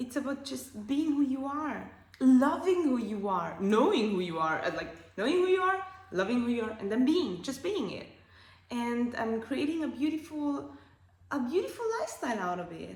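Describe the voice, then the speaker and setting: In an Austrian accent, a woman speaks at a high pitch with an animated tone and very wide pitch swings, amid audible room echo and noticeable background noise. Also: moderate pace. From Austria, Alpine village. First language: German. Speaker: life coach and podcast host. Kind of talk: casual monologue podcast. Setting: at home on couch.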